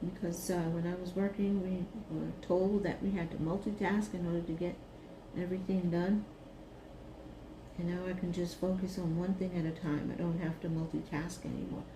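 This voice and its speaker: Over noticeable background noise and audible room echo, a woman with an American accent talks in a relaxed tone at a fairly low pitch, her intonation monotone and flat. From Brooklyn, New York. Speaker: retired teacher, craft video creator. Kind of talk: casual craft vlog chat. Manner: slow, relaxed.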